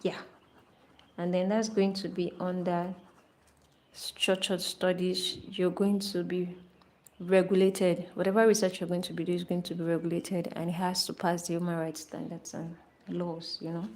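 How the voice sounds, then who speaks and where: A woman with a non-native accent and a fairly low pitch talks at a moderate pace in a monotone, flat intonation. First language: not English. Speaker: artist and art channel host. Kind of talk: casual chat while painting on a livestream. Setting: live stream.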